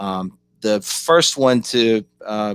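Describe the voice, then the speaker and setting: A man with a Kentucky accent and ordinary pitch variation. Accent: Southern US (Kentucky). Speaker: policy organization director. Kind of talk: online panel presentation. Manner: halting, many fillers.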